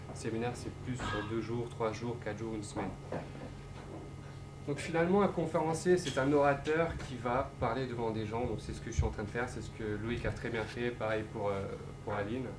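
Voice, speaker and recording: There's audible room echo as a man talks at a medium pitch, his pitch varying in an ordinary way. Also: moderate pace. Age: 20s. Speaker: motivational speaker and entrepreneur. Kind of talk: public talk.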